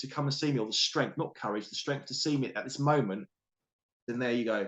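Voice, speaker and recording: With a British accent, a man speaks at a fairly high pitch with ordinary pitch variation. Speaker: coach and author. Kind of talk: interview. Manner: fast; animated.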